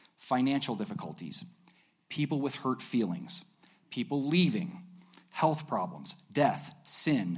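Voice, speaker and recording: A man with a fairly high voice and vocal fry speaks at a fairly slow pace, his pitch swinging very widely. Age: 40s. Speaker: preacher. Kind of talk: sermon. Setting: church.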